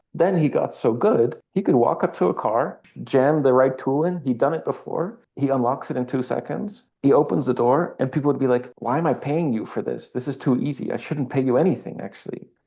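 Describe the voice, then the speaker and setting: The speaker has a Dutch accent and a dark, mellow tone, with ordinary pitch variation. The pace is fairly quick with hardly any pauses over a quiet background. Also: man, fairly high pitch for a man. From Netherlands. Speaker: architect. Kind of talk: interview conversation.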